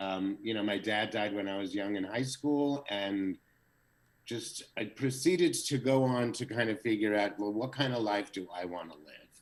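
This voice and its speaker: A man with an American accent speaks at a moderate pace and a fairly low pitch, with ordinary pitch variation. It is an unremarkable speaking voice. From US East Coast, New Jersey. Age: 60s. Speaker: social media creator. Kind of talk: casual interview.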